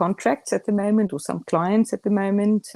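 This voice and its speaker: With a dry, close sound and no echo, the speaker talks in a South African accent. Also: woman. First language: Afrikaans. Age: 40s. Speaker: communications professional. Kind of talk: casual chat. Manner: halting.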